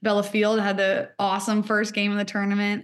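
A woman with an American accent and medium pitch speaks at a fairly quick pace against a quiet background. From Seattle, US Pacific Northwest. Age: 20s. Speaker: college soccer and basketball athlete. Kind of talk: interview.

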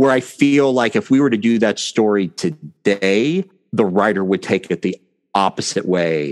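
In a dry, close recording with no echo, a man with an unremarkable speaking voice talks at a moderate pace in a fairly low pitch, his intonation lively and his loudness very even. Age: 40s. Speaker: podcast co-host. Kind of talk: casual chat about a TV show.

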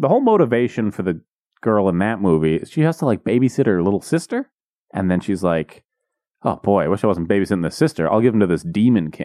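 A man speaks at a very fast pace with a fairly low pitch, a dark, mellow tone and very wide pitch swings. The sound is dry and close, with no echo. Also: very clean recording, silent background. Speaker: comedy podcast co-host. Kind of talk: casual chat. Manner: loud.

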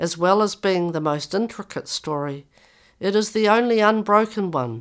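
A woman with a New Zealand accent, moderate pace and lively intonation, on a very clean recording with a silent background. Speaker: mental health executive and author, speaking from lived experience. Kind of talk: interview, with passages read aloud from her memoir.

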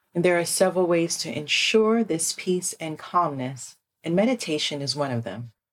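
A woman with a fairly low pitch speaks in an ordinary speaking voice with lively intonation. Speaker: podcast host and meditation guide. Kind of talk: guided meditation. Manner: slow, soothing, calm and gentle pacing with long pauses; soft-spoken, hushed and tender.

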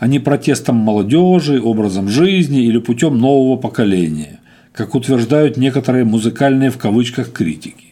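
With a dark, mellow tone and medium pitch, a man talks at a moderate pace, his pitch swinging very widely. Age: 50s. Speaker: podcaster and rock musician. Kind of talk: monologue blog commentary.

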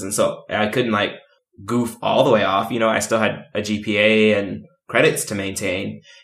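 A man at a moderate pace in a normal speaking voice. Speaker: podcast co-host. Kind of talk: casual chat.

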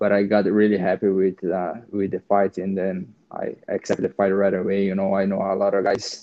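The speech moves at a moderate pace with hardly any pauses and a monotone, flat intonation. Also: man. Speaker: UFC fighter.

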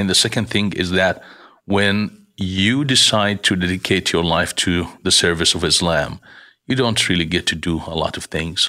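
Recorded very cleanly against a silent background, a man with a very deep, low pitch speaks in a bright, sharp tone with ordinary pitch variation. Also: moderate pace. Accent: Arabic. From Jordan. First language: Arabic. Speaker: relief organization director. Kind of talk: interview, personal testimony. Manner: hesitant, many fillers.

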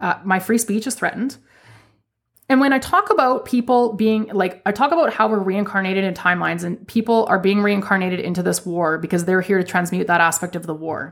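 A woman with a Canadian accent speaks in a normal speaking voice at a medium pitch and fairly quick pace. Her pitch varies in an ordinary way on a very clean recording with a silent background. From Canada. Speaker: spiritual podcast host. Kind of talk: solo podcast monologue.

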